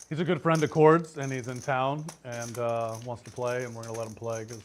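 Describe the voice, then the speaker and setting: A man's plain, everyday voice at medium pitch, fairly quick in pace, with ordinary pitch variation and big swings in loudness. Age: 60s. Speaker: poker player. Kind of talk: casual chat. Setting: casino poker table on livestream.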